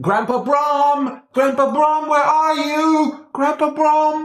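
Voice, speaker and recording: A put-on character voice with a high pitch moves at a very slow pace amid a slight echo. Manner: calling out, echoing from far away.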